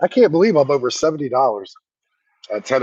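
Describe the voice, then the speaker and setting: A man with an American accent talks at a medium pitch and a fairly quick pace, in a dry, close sound with no echo. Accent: country, says he sounds like a hick. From Virginia. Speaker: food delivery driver streamer. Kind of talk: casual live stream chat while driving.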